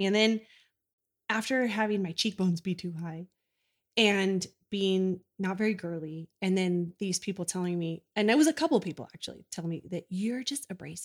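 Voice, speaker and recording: A plain, everyday voice from a woman at medium pitch, moderate in pace with ordinary pitch variation, on a very clean, dry, close recording with a silent background and no echo. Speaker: mom guest. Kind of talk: casual chat. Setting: in person, same room.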